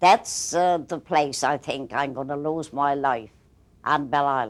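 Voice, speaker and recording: A woman's very deep, low voice at a fairly slow pace, with ordinary pitch variation, in a very clean recording with a silent background. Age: 70s. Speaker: local resident. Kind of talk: oral history interview. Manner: halting.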